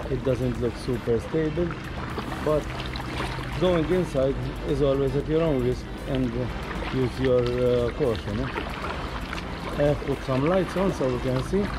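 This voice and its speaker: The speaker goes at a fairly slow pace with long, frequent pauses. Music plays in the background. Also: man. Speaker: kayak tour vlogger. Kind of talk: casual vlog commentary. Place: boat. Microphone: camera far.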